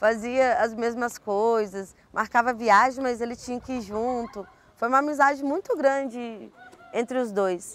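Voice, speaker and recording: A woman speaks at a fairly slow pace in a high pitch with ordinary pitch variation. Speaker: university social services worker. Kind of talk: interview answer.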